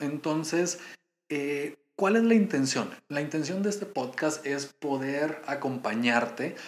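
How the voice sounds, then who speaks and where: Speaking at a very slow pace, a man uses a fairly high voice with ordinary pitch variation. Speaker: podcast host and fitness coach. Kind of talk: casual monologue.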